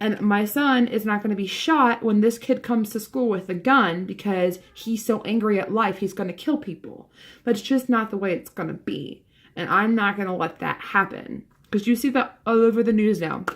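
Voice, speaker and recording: A woman with an American accent talks at a moderate pace, using ordinary pitch variation. The recording is very clean, with a silent background. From Philadelphia, US. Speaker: vlogger. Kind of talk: casual vlog monologue. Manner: hesitant, filler-heavy.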